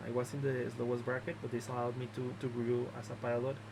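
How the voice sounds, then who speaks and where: A man with a Mexican accent speaks at a medium pitch. There is noticeable background noise and audible room echo. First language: Spanish. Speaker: drone racing league organizer. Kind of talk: video announcement, explaining league rules. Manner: halting, many filler words.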